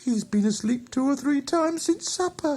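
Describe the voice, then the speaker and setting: A man in a put-on character voice, extremely high pitch, moderate pace. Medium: read story.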